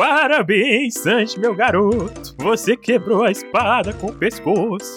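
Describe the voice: A put-on character voice with a fairly high pitch speaks at a fairly slow pace. Clear music plays in the background.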